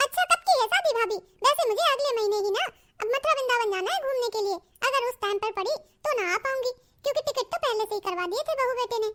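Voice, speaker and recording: Very fast and squeaky, a woman does a cartoonish character voice at an extremely high pitch. Her pitch varies an ordinary amount. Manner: chatty, friendly.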